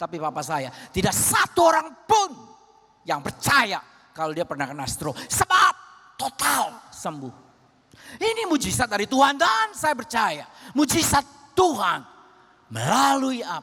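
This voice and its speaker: A man projects a raised voice at an extremely high pitch, with very wide pitch swings. He goes at a fairly slow pace with long, frequent pauses over noticeable background noise. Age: 70s. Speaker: pastor. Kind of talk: sermon.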